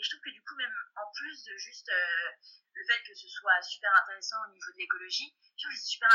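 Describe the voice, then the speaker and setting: A woman at a moderate pace. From Brittany, France. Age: 20s. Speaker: student. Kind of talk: casual chat. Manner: halting. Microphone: sounds like over a phone.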